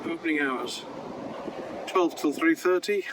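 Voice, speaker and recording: A man speaks with a British accent. Noticeable background noise runs behind him. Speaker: campsite tour vlogger. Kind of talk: guided site tour walkthrough. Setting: outdoors walking around campsite. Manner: soft-spoken, talking quietly.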